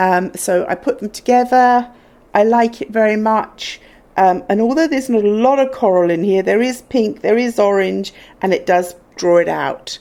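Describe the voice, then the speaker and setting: Speaking at a moderate pace with a British accent, a woman has a dark, mellow tone, fairly high pitch and ordinary pitch variation. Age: 60s. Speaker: fashion vlogger. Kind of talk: casual chat. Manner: animated.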